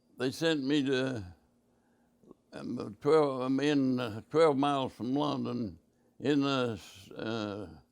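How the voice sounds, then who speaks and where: A man with an Appalachian accent talks very slowly with long, frequent pauses, at a medium pitch with ordinary pitch variation. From West Virginia. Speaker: war veteran. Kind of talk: interview answer. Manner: hesitant, halting.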